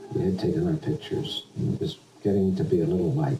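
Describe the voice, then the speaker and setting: Noticeable background noise sits behind a man with an American accent and a fairly low pitch. He talks at a fairly quick pace with very wide pitch swings. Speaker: war veteran; retired air force pilot. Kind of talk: interview answer. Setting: home recording, low quality.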